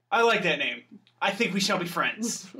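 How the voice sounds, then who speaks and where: A man adopts a put-on character voice pitched high. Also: moderate pace. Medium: actual play. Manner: hesitant, anxious.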